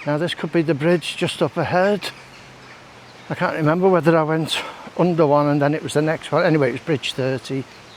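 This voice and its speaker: Against noticeable background noise, a man speaks fairly quickly at a fairly high pitch. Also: fairly even intonation. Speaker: walking vlogger. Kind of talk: casual walking vlog commentary. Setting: outdoors.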